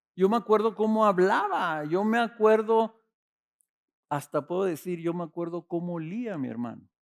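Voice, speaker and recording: At a moderate pace, a man talks with a high pitch. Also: ordinary pitch variation. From Mexico, Ciudad Juárez. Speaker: pastor. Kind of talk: sermon.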